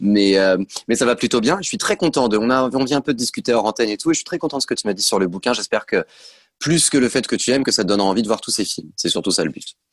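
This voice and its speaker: Against a quiet background, a man with a medium-pitched voice talks very fast with lively intonation, the sound dry and close with no echo. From western France, near Nantes. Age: 30s. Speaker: actor and author. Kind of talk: casual interview. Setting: video call.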